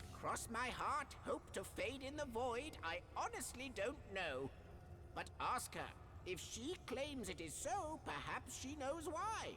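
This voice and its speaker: A high-pitched, put-on character voice at a fairly slow pace amid loud background noise. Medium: video game.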